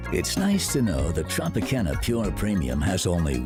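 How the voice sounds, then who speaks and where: With music in the background, a man speaks at a fairly slow pace in a very deep, low voice. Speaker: voice-over artist. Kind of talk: commercial read.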